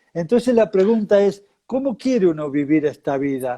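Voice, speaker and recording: A man is talking. His pace is fairly slow. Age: 70s. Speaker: spiritual teacher. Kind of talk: interview.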